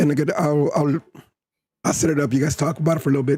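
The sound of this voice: A man's raspy put-on character voice, fairly high-pitched and very fast, with very even loudness and a dry, close sound with no echo.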